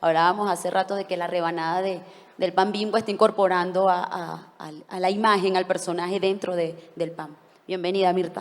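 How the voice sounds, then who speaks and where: At a moderate pace, a woman talks at a medium pitch with monotone, flat intonation. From Mexico. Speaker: panelist. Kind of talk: conference panel talk.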